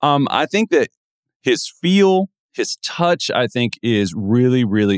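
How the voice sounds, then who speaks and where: Captured in a very clean recording with a silent background, a man's pitch swings very widely. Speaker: podcast host, NBA draft analyst. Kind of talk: casual sports talk.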